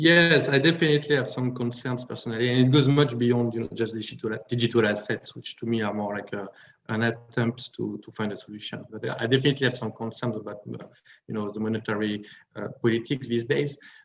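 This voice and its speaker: A man's medium-pitched voice in a French accent, very fast, with ordinary pitch variation and big swings in loudness. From France. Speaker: panel speaker on finance. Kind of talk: panel discussion. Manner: hesitant with many fillers.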